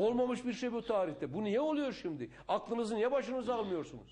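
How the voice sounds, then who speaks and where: Speaking in an animated tone, a man keeps a moderate pace. His delivery moves along evenly in speed. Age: 60s. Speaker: politician. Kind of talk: interview.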